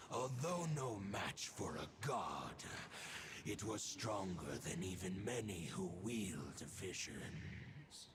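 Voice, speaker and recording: A man puts on a character voice at a fairly low pitch. He goes at a very slow pace over clear background noise. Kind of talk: archaic formal speech. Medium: video game. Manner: solemn, lofty.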